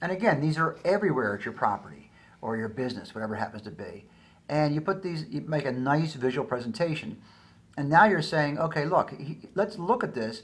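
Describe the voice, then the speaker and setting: Moving along at a fairly quick pace, a man speaks at a fairly high pitch with very wide pitch swings. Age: 60s. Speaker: business educator. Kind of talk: tutorial. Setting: recorded screencast with daughter reading slides. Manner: casual, halting with fillers.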